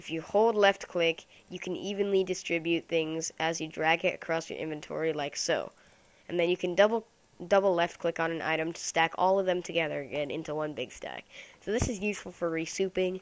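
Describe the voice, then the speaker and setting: A woman speaks at a fairly quick pace with fairly even intonation and a fairly low pitch, on a very clean recording with a silent background. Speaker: gaming YouTuber. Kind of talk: gameplay commentary. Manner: fast; casual, thinking aloud.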